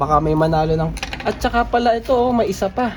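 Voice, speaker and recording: Fairly quick pace over noticeable background noise. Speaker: DIY electronics YouTuber. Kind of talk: product review tutorial. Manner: speaking softer than usual.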